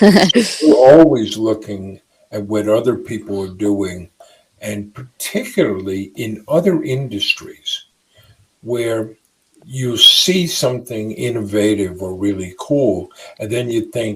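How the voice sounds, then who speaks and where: At a very slow pace, a man talks in a medium pitch with ordinary pitch variation. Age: 60s. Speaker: entrepreneur. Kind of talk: interview.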